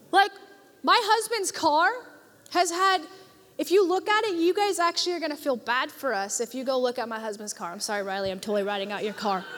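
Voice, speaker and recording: The voice moves at a fairly quick pace with very wide pitch swings, against noticeable background noise. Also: woman, high pitch for a woman. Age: 20s. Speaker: youth pastor. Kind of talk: sermon. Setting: church with live congregation. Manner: animated.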